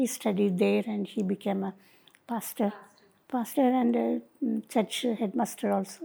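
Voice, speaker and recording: Speaking at a moderate pace with long, frequent pauses, a woman uses a medium pitch, ordinary pitch variation, a dark, mellow tone and vocal fry. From Nilgiris (Kotagiri), Tamil Nadu, India. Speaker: mission worker. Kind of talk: interview. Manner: halting.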